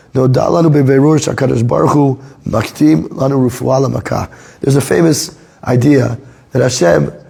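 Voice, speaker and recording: Through audible room echo and noticeable background noise, a man talks at a medium pitch with ordinary pitch variation. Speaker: Torah teacher. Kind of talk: lecture. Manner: halting.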